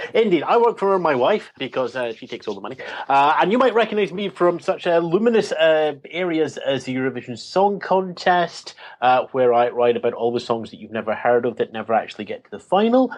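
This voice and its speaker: Delivered at a fairly quick pace in a Scottish accent, the voice shows very wide pitch swings and big swings in loudness. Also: man, fairly high pitch for a man. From Scotland. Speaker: tech journalist. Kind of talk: panel discussion.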